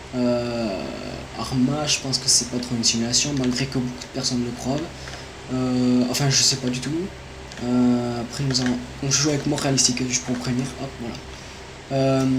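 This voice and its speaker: Delivered at a moderate pace, the speech is flat and monotone, broken by long, frequent pauses. Audible room echo and noticeable background noise surround the voice. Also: man. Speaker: gaming YouTuber. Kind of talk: gameplay commentary, channel introduction. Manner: hesitant, many fillers.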